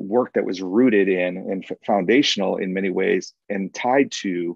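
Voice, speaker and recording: A man with a Chicago accent talks at a fairly low pitch with fairly even intonation. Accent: Chicago American English. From US Midwest, north side of Chicago. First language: Spanish. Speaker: diversity and inclusion consultant. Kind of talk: webinar talk. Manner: many filler words and hesitations.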